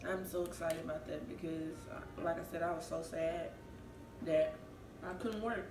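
Over noticeable background noise, a woman speaks at a moderate pace with ordinary pitch variation. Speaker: food vlogger. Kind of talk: casual mukbang vlog chat. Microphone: camera far.

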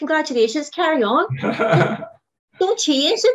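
With a Northern Irish accent, a woman talks at a moderate pace using lively intonation. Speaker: diet group coordinator. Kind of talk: interview answer. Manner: enthusiastic.

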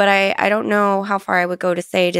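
Against a quiet background with dry sound and no echo, a woman speaks at a very fast pace with monotone, flat intonation. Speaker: guest. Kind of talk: interview answer. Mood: thoughtful, lightly amused. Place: studio. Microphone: studio mic.

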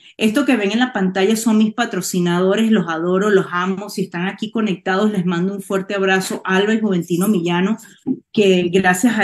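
Here a woman speaks at a moderate pace. Her intonation stays fairly even. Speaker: network marketing distributor. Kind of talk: testimony. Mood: emotional, heartfelt. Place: home room. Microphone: webcam.

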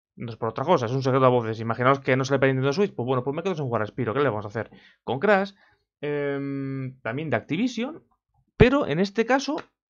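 Lively intonation runs through this man's speech. He talks very fast. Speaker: video game YouTuber; gaming youtuber. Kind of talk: opinion vlog. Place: home room. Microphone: webcam.

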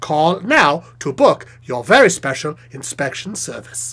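A put-on character voice at a middle pitch, delivered at a fairly slow pace. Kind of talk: TV commercial read. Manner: upbeat, salesy.

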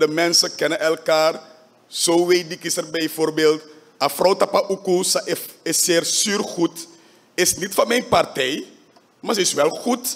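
A man talks at a very slow pace in a high pitch. His pitch varies in an ordinary way. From Suriname. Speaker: parliamentary faction leader. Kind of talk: parliamentary debate speech. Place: hall. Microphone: podium.

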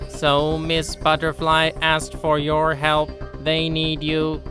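A cartoonish character voice at a middle pitch and fairly slow pace, over clear music in the background. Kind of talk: children's educational narration. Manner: clear, explanatory, businesslike.

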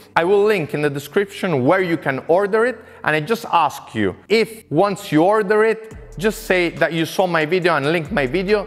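A man speaks in a high voice at a moderate pace with ordinary pitch variation. Faint music plays in the background. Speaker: workshop tool reviewer. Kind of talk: tutorial. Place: garage. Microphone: lapel.

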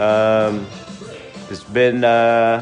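A man is talking while faint music plays behind him. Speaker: fitness coach. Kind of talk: live workout instruction and viewer chat. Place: garage. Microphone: phone near.

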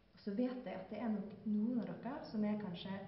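Strong room echo surrounds a woman speaking at a medium pitch.

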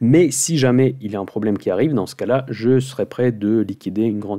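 A man talks at a fairly quick pace in a dark, mellow tone. His pitch varies in an ordinary way against a quiet background. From Russia. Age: 40s. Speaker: finance YouTuber, options investor; finance YouTuber. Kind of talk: weekly market commentary monologue. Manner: fast.

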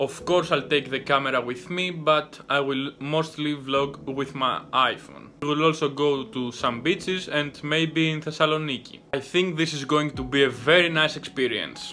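A man at a moderate pace with fairly even intonation and hardly any pauses, over light background noise. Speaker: vlogger. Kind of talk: casual vlog chat. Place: home room. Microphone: phone near.

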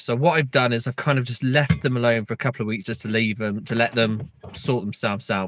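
Dry, with no echo, a man's voice moves at a fairly quick pace with ordinary pitch variation. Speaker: beekeeper vlogger. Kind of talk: casual vlog chat. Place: car. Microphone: phone near.

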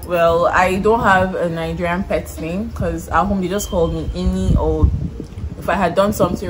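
Noticeable background noise accompanies a woman speaking at a fairly quick pace. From Nigeria, Kaduna State (north). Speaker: guest on a YouTube channel. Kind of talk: casual chat. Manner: animated, laughing. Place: garden. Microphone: phone near.

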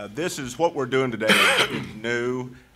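At a moderate pace, a man talks in an ordinary speaking voice with ordinary pitch variation over light background noise. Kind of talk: formal meeting remarks. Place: hall.

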